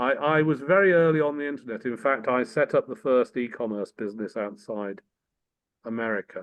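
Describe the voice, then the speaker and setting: A man with an English accent talks at a fairly quick pace, his medium pitch showing ordinary variation. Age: 60s. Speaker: former politician and tech entrepreneur. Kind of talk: casual chat.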